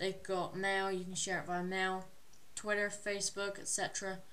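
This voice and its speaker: Here a woman speaks at a moderate pace in a medium pitch. The room echo is audible. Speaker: tech YouTuber. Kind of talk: tech review video. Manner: hesitant, many filler words.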